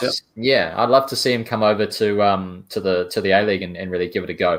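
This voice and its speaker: Talking at a very fast pace, a man uses a New Zealand accent. His pitch is fairly low and his intonation fairly even. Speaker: sports podcast host. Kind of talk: sports podcast discussion.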